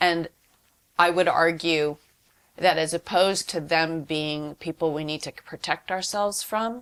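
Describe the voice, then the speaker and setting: A woman speaks in an ordinary speaking voice, fairly low in pitch, with fairly even intonation. The recording is very clean with a silent background, and her pace is fairly slow. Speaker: activist and workshop organizer. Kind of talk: interview.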